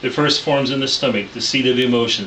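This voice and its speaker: A man's medium-pitched voice with fairly even intonation, noticeable background noise and audible room echo. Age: 60s. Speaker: pastor and counseling student. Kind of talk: class presentation. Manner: formal.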